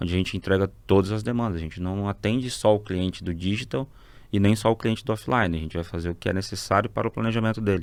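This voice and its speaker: A man with a plain, everyday voice speaks at a fairly quick pace. His pitch is fairly low, with ordinary pitch variation. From Mato Grosso, Brazil (born Rondônia). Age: 30s. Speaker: advertising agency partner. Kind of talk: podcast interview. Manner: casual, conversational.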